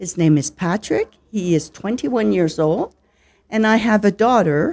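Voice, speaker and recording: A woman with a French Canadian accent, a dark, mellow tone, very wide pitch swings and a fairly slow pace, on a very clean recording with a silent background. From Canada, Ottawa Ontario. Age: 60s. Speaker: retired teacher and teacher trainer. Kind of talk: interview. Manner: slow, clear.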